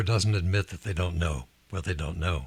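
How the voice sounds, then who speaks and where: A man's somewhat breathy voice with lively intonation, in a very clean recording with a silent background. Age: 80s+. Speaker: leadership author and investor. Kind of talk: interview.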